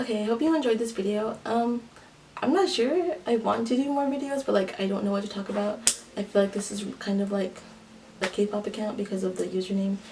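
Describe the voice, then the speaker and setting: A woman with a fairly high pitch and ordinary pitch variation talks fairly quickly while noticeable background noise runs behind her. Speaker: YouTuber, K-pop fan. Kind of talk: casual vlog monologue. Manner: fast; halting, filler-heavy.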